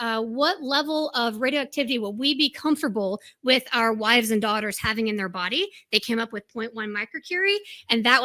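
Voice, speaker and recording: A woman with a plain, everyday voice speaks with an American accent at a fairly high pitch, with ordinary pitch variation and a fairly quick pace, on a very clean recording with a silent background and a dry, close sound with no echo. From United States. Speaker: scientist. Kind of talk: conference talk.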